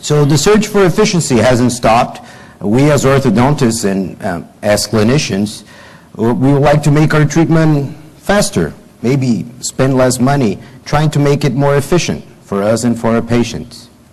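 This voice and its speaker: Speaking at a moderate pace in a Brazilian Portuguese accent, the voice keeps a very even loudness and lively intonation while room echo is audible. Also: man, medium pitch for a man. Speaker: orthodontist and professor. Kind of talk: conference lecture. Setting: conference hall with audience. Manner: hesitant, many fillers.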